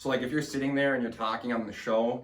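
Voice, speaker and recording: This man's voice carries audible room echo. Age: 20s. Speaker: podcast host. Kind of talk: casual interview chat. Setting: studio. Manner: animated.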